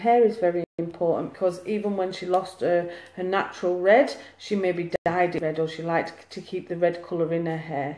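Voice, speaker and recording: A woman speaks with a Lancashire accent. Her fairly low voice keeps a fairly even intonation. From Lancashire, northern England. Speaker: psychic medium. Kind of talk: live mediumship reading. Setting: live video stream.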